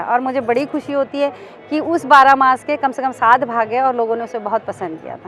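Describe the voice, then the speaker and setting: Against music in the background, a woman talks at a moderate pace in a high pitch, with ordinary pitch variation and big swings in loudness. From Mumbai. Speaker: folk singer. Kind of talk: interview answer.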